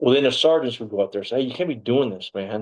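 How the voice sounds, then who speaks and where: A man's voice comes through in a very clean recording with a silent background. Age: 60s. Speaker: former police officer, wrongfully convicted interviewee. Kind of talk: interview testimony. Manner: rambling, halting with self-corrections.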